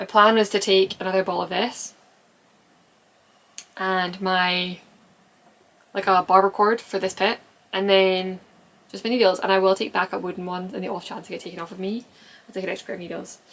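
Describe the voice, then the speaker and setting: Mumbling at a fairly quick pace, a woman speaks at a medium pitch with monotone, flat intonation, big swings in loudness and long, frequent pauses. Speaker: knitter and knitting pattern designer. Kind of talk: casual podcast talk to camera. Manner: rambling, mumbling.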